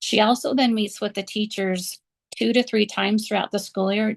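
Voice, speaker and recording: A woman's plain, everyday voice at a fairly quick pace, with ordinary pitch variation and a dry, close sound with no echo. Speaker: preschool director. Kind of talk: conference panel presentation. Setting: conference session.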